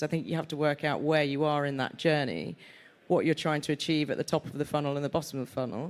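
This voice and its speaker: Someone speaks at a fairly quick pace with a Yorkshire accent on a very clean recording with a silent background. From Yorkshire, northern England. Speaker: sports media executive. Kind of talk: live panel discussion. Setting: stage with audience.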